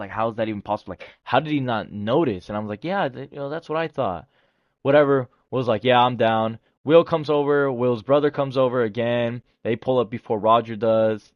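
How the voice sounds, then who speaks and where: A man is speaking at a fairly quick pace. His pitch varies in an ordinary way. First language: not English. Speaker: storytime youtuber. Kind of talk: casual storytelling. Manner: halting, many fillers and restarts.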